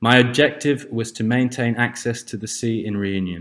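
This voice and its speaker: A man's plain, everyday voice at medium pitch, with fairly even intonation, a moderate pace, and a very clean recording over a silent background. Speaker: narrator. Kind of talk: documentary presentation narration.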